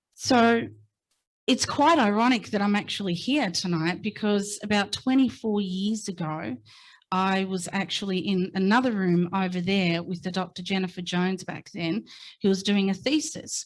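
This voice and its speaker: This woman speaks with an Australian accent at a medium pitch. The recording is very clean, with a silent background. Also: ordinary pitch variation, moderate pace. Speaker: invited speaker sharing family story. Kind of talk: public talk. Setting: stage with audience. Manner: halting.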